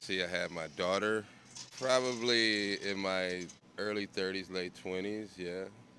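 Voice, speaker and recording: A man speaks in a normal speaking voice at a fairly low pitch. His pace is fairly slow. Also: fairly even intonation. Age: 60s. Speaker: interviewee. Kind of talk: street interview. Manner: casual.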